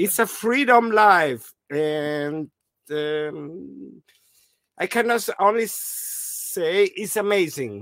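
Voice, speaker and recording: Speaking very slowly with lively intonation, a man with an Italian accent has a high voice. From South Tyrol, Italy. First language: Italian or German. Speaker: traveler living in a motorhome. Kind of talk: casual video interview. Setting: video call from a motorhome. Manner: halting.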